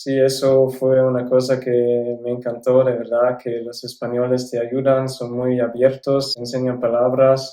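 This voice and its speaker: Speaking at a fairly slow pace with a German accent, a man keeps a medium pitch and a flat, monotone intonation. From South Tyrol, Italy. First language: German (speaking Spanish). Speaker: former exchange student. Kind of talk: interview. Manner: some hesitations.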